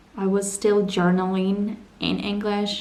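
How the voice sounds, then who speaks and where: A woman speaks very slowly at a medium pitch, with a dark, mellow tone. Room echo is audible. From Ukraine, Donbass. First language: Ukrainian or Russian. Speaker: vlogger. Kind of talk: personal vlog narration.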